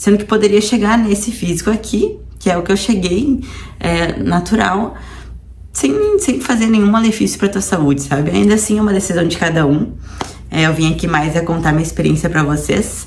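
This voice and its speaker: A woman's voice, very even in loudness and ordinary in pitch variation, comes through audible room echo and noticeable background noise. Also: moderate pace. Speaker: nutritionist and fitness vlogger. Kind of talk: personal vlog testimony. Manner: casual, conversational.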